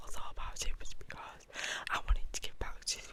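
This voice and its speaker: A woman whispers over noticeable background noise. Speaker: ASMR artist. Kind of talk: ASMR whisper ramble. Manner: whispered.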